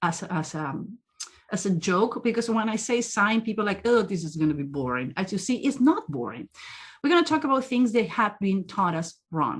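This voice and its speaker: A woman speaks with a strong non-native accent at medium pitch. Her voice is somewhat breathy, with very wide pitch swings. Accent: strong foreign. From South America. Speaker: body language trainer, profiler. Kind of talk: interactive training webinar.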